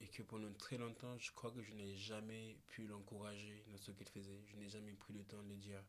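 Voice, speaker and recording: Fairly low in pitch and monotone, with flat intonation, a man speaks at a fairly slow pace amid audible room echo. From Réunion. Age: 20s. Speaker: photographer and musician. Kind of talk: casual chat. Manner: halting.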